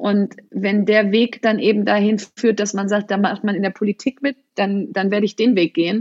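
A woman's somewhat breathy voice at a medium pitch, with fairly even intonation and a moderate pace. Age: 40s. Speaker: entrepreneur and author. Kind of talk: interview.

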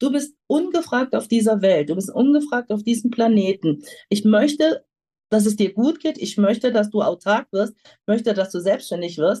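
Her voice is fairly high, somewhat breathy and dark and mellow in tone, as this woman talks at a moderate pace with lively intonation. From Germany, Lower Rhine region. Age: 50s. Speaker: pharmaceutical sales representative. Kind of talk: interview.

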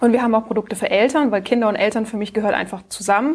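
Ordinary pitch variation runs through what is an ordinary speaking voice. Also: woman. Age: 30s. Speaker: speech therapist and founder. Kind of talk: casual interview.

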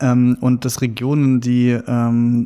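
A man's voice of medium pitch has a dark, mellow tone. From Saxony, eastern Germany (near Meißen). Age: 30s. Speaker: journalist. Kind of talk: interview conversation. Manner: hesitant with many fillers.

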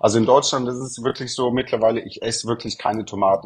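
A man speaks very fast at a medium pitch in a flat monotone, with noticeable background noise behind him. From southern Germany, Munich. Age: 30s. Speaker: real estate consultant. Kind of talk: podcast interview.

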